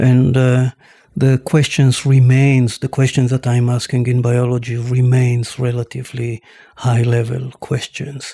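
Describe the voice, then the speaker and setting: In a dry, close sound with no echo, a man speaks fairly slowly at medium pitch, somewhat breathy, with a dark, mellow tone and monotone, flat intonation. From Israel, Tel Aviv. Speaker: scientist. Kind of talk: interview.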